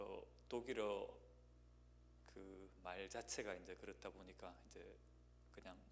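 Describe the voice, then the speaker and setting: A man with a Gyeongsang accent talks with vocal fry, and audible room echo surrounds his voice. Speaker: guest pastor. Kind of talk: sermon introduction, casual personal remarks. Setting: church. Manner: hesitant, many fillers.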